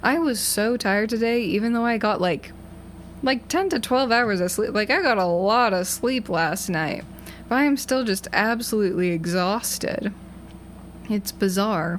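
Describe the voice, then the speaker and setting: A woman with an American accent talks at a moderate pace in a fairly high voice. Her intonation is lively and her loudness very even. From Massachusetts. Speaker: college radio DJ. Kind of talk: casual chat. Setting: radio studio. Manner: rambling.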